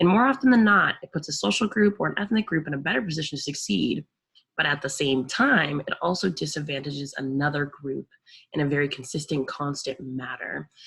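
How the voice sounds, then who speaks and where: Fairly quick speech with an American accent and lively intonation. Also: woman, very deep, low pitch for a woman. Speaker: teacher. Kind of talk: lecture. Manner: casual, with frequent fillers.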